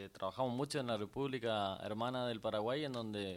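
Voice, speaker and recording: A man speaks at a medium pitch with ordinary pitch variation, in an unremarkable speaking voice. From Corrientes province, Argentina (Itá Ibaté). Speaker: chamamé musician and TV host. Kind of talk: casual interview on live radio. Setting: radio studio.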